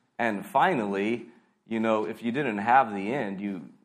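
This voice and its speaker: Audible room echo carries a voice moving at a moderate pace with ordinary pitch variation. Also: man. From US, California. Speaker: pastor. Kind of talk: sermon. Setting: church.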